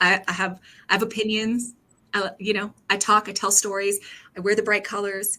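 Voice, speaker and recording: Loud and at a moderate pace, a woman speaks at medium pitch with a bright, sharp tone and monotone, flat intonation. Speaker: brand strategist. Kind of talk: casual chat. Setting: video call.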